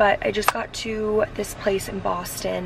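A woman speaks in a dry sound with no echo. Noticeable background noise runs behind her. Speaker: vlogger. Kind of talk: casual vlog chat. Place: car. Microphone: phone near.

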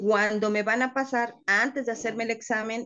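Over a quiet background, a woman talks at a fairly slow pace in an ordinary speaking voice. Her pitch is fairly high and her intonation fairly even. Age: 50s. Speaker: call center worker living with diabetes; interviewee. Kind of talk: personal testimony interview. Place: home room. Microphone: video call.

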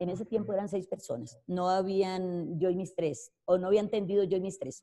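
A woman's dark, mellow tone at a moderate pace, against a quiet background. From Colombia, rural Caldas. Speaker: network marketing entrepreneur; interviewee. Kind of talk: interview testimony. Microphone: video call.

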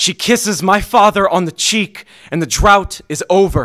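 A raised, projected voice with an intense, bright, sharp tone, ordinary pitch variation and a very slow pace against a quiet background. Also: man. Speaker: slam poet. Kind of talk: slam poem performance. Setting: stage with audience. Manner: intense, impassioned, rhythmic delivery. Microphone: studio mic.

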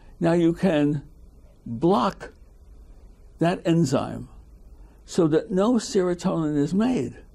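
A man at a high pitch with a dark, mellow tone, lively intonation, a very slow pace and long, frequent pauses, over a quiet background. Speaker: retired biochemist. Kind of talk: oral history interview. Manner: halting. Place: home room.

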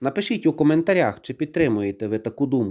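On a very clean recording with a silent background, a man with a fairly high pitch speaks with very wide pitch swings. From Ukraine. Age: 40s. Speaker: YouTuber. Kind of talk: opinion monologue to camera.

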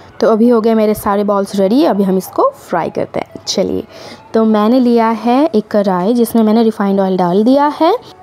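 Ordinary pitch variation from a woman speaking at a fairly slow pace. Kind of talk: tutorial. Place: home room. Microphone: phone near.

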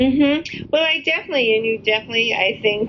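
Against noticeable background noise, a woman talks with an American accent. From New York, US. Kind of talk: casual interview.

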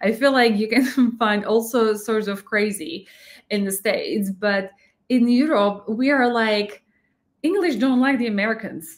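A woman with a Slovak accent speaks at a fairly slow pace against a quiet background. Her fairly high pitch has ordinary variation. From Slovakia. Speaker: YouTube reaction channel host. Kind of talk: casual reaction commentary. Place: home room.

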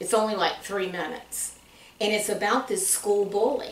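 A woman talks with a Southern US accent, and room echo is audible. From US South (Tennessee). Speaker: church class guest. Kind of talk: conversational interview chat. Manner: animated. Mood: warm, friendly. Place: office.

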